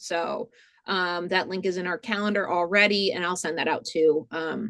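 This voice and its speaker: A woman with a slight Rhode Island accent speaks at a moderate pace and medium pitch, with fairly even intonation over a quiet background. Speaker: museum programming director. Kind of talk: webinar tutorial. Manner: loud; many fillers, casual.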